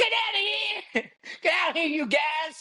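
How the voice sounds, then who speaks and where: A put-on character voice shouts at a high pitch. The pace is moderate. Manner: screaming.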